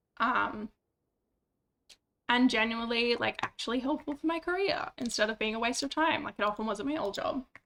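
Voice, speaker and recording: A woman with a high pitch talks at a fairly quick pace in a bright, sharp tone with ordinary pitch variation. Her speech has long, frequent pauses. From Western Australia. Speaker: streamer. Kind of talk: casual chat.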